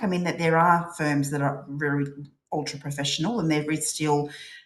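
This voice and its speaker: A woman with a strong Australian accent, very deep and low in pitch, talking at a fairly quick pace amid audible room echo. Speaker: corporate professional. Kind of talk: podcast interview.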